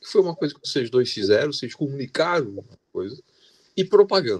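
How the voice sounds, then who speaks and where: The sound is dry and close with no echo as a man talks fairly quickly. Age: 60s. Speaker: audience member. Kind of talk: audience comment in panel Q&A. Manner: halting, repeated words.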